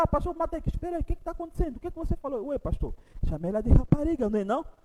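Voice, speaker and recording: Through noticeable background noise, a man speaks in an animated tone at an extremely high pitch, with ordinary pitch variation. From Angola. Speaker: pastor. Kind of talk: sermon. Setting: church.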